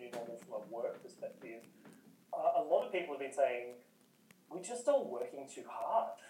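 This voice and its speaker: A man speaks at a moderate pace with long, frequent pauses and big swings in loudness. Noticeable background noise and audible room echo fill the recording. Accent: Australian. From Newcastle, Australia. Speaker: communications and content worker. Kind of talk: casual chat.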